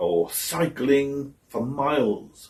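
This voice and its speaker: This man's voice is somewhat breathy. The intonation is lively. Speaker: actor. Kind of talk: theatre monologue.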